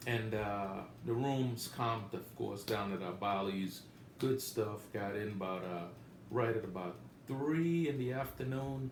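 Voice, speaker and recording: The speech comes at a fairly slow pace in an American accent with ordinary pitch variation, audible room echo and noticeable background noise. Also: man, fairly low pitch for a man. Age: 60s. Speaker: gambling vlogger. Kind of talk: casual monologue trip report. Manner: casual, halting with many fillers.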